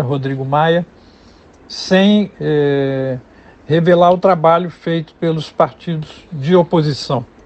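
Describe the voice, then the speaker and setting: Pitch varies in an ordinary way as the words come out very slowly. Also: man. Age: 70s. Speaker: sociologist, professor. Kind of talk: radio interview. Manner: halting, many fillers.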